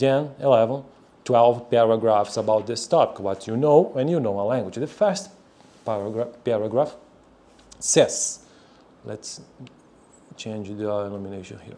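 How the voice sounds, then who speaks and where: Long, frequent pauses break up this man's speech at a moderate pace, with ordinary pitch variation. His tone is dark and mellow, and his loudness swings widely. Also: medium pitch for a man. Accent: Brazilian Portuguese. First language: Portuguese. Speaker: language learner, video creator. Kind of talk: reading aloud. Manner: halting.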